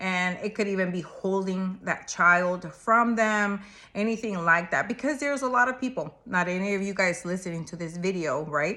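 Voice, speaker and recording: Speaking at a moderate pace, a woman uses a bright, sharp tone at medium pitch. She has a non-native accent. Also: ordinary pitch variation, hardly any pauses. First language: not English. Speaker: marriage and family therapist. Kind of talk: advice talk to camera. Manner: conversational, casual.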